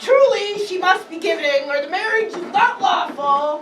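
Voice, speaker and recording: A woman's put-on character voice, extremely high in pitch, at a moderate pace with a slight echo and clear music in the background. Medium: stage play.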